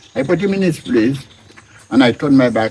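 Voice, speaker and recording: Noticeable background noise runs under a man's lively intonation. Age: 80s+. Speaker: farmer. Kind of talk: interview answer.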